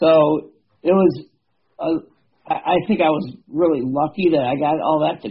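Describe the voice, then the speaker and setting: With an ordinary speaking voice, this man uses ordinary pitch variation at a fairly high pitch. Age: 50s. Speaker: bow hunter and habitat manager. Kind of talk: casual interview.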